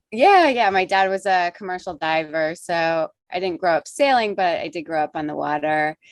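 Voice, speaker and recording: At a moderate pace and with hardly any pauses, a woman with a fairly low pitch and ordinary pitch variation uses an ordinary speaking voice, recorded dry and close with no echo against a quiet background. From US Northeast, Rhode Island. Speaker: sailing channel co-host, photographer. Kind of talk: casual interview chat.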